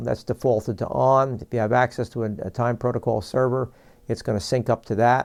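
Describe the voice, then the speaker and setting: A man with a New York accent speaks in a monotone, flat intonation, with a dry, close sound with no echo and a quiet background. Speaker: product presenter for a broadcast equipment maker. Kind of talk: product tutorial. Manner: fast; halting, many fillers.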